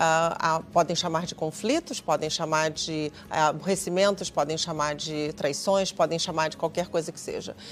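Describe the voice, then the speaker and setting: With a Brazilian accent, a woman speaks at a fairly low pitch and a moderate pace, her intonation fairly even, her loudness swinging widely and her speech having hardly any pauses, all on a very clean recording with a silent background. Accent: Brazilian Portuguese, still noticeable. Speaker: conflict mediator. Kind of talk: TV talk show interview. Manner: hesitant, many fillers.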